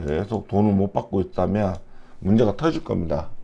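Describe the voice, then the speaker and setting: The man's tone is dark and mellow. He speaks at a fairly slow pace. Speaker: retired investor giving stock analysis. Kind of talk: stock analysis talk.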